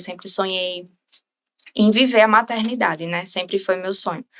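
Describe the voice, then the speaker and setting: A woman with a normal speaking voice, medium pitch, fairly even intonation and a fairly slow pace. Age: 20s. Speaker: bereaved mother sharing her story. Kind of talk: interview testimony.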